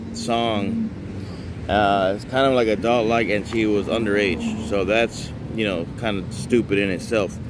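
A man talks at a fairly slow pace, the sound dry with no echo and noticeable background noise behind him. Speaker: vlogger. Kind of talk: casual vlog commentary. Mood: disapproving, ranting. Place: street. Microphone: phone near.

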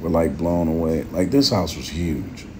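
A man's very deep, low voice at a fairly slow pace, with noticeable background noise. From United States. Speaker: YouTuber. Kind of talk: voiceover narration. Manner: casual. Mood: excited, impressed. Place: home room. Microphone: phone near.

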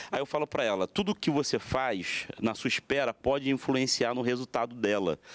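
Speaking at a moderate pace, a man uses lively intonation and very even loudness, with hardly any pauses. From Brazil. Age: 20s. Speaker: pastor. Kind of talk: TV panel debate. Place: studio. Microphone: handheld.

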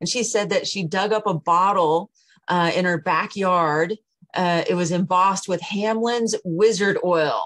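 The pace is fairly slow as a woman speaks. Her intonation is fairly even. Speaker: historical society emcee and webinar host; event host or moderator. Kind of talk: event hosting and moderating Q&A. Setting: video call webinar. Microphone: video call.

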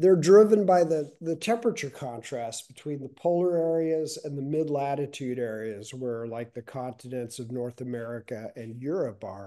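Against a quiet background, a man with a dark, mellow tone talks at a moderate pace with lively intonation, big swings in loudness and hardly any pauses. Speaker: climate reporter. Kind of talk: interview answer. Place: home room. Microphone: video call.

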